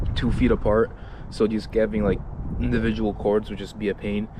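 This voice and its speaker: A man's fairly low voice comes through amid noticeable background noise. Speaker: hobbyist showing his Christmas light display. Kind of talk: walkthrough tutorial. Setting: outdoors in cold icy weather. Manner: casual, with many fillers.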